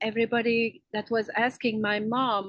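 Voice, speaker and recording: Against a quiet background, a woman speaks in a French Canadian accent with fairly even intonation. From Quebec, French Canada. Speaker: spiritual healer. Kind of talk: interview. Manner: halting, many fillers.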